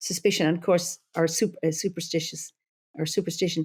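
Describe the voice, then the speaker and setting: A woman with an Irish accent speaks very fast at a fairly low pitch. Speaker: druid leader and psychologist. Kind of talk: podcast interview.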